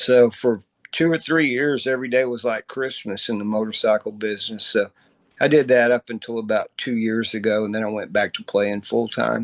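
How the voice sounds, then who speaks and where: This man has a Texan accent and a medium pitch, with fairly even intonation at a moderate pace. The sound is dry and close, with no echo. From Texas, Dallas. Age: 60s. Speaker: musician. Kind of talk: interview.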